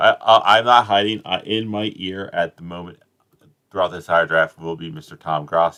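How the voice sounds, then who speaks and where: In an American accent, a man speaks at a very deep, low pitch with ordinary pitch variation and big swings in loudness. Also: moderate pace. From South Jersey, US. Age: adult. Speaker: streamer. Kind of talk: live stream commentary. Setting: live stream, home, sitting on bed. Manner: casual, rambling.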